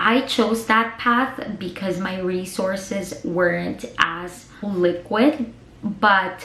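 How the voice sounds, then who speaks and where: With a Filipino accent and ordinary pitch variation, a woman talks over noticeable background noise, with audible room echo in the recording. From Philippines. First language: Tagalog. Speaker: vlogger. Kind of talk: casual advice vlog, mixing English and Tagalog. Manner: chatty, talkative.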